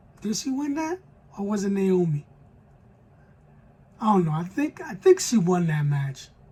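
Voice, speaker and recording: Speech moves at a moderate pace with long, frequent pauses. Noticeable background noise sits behind it. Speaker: wrestling YouTuber. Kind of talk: casual monologue.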